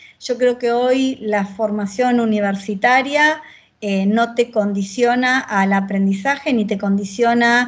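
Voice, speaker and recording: A woman's fairly high, somewhat breathy voice at a fairly slow pace, with fairly even intonation. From Argentina, Buenos Aires province (Victoria, zona norte). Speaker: agile transformation leader in tech. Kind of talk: interview.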